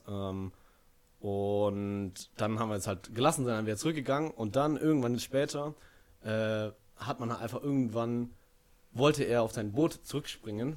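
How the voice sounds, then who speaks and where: Here a man speaks at a moderate pace, in a medium pitch with ordinary variation. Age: 20s. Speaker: student. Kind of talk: casual chat. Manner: halting, many fillers.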